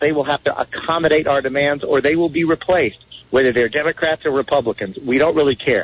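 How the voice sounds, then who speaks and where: A normal speaking voice moves along at a fairly quick pace. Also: man. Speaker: national spokesperson and activist. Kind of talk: radio interview. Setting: phone call.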